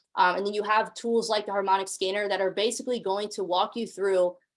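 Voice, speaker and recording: Ordinary pitch variation marks an unremarkable speaking voice. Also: woman. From US, Mexican-American family. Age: 20s. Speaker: forex trading educator. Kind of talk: online sales pitch webinar. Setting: online group call. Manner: casual, filler-heavy.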